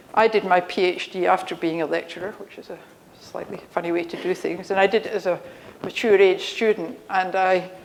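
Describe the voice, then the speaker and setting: Noticeable background noise sits behind this recording. A woman at medium pitch speaks at a moderate pace. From Scotland. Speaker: engineering professor. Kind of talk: conference talk. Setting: stage with audience. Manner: conversational.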